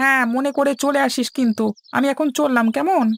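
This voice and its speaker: This is a cartoonish character voice with a high pitch. It moves at a moderate pace. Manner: familiar, reassuring.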